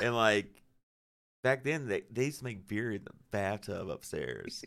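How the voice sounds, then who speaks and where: This man has a Southern US accent and a medium pitch. He talks at a fairly slow pace with ordinary pitch variation. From Arkansas (Cabot area, near Little Rock). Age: 40s. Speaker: metal guitarist. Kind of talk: casual chat. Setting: studio.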